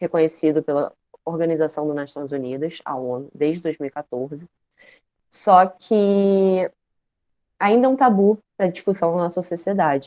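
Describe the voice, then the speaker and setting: At a moderate pace, a woman speaks in an unremarkable speaking voice pitched fairly low. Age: 20s. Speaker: social work student, guest lecturer. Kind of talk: online lecture. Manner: informal, with fillers.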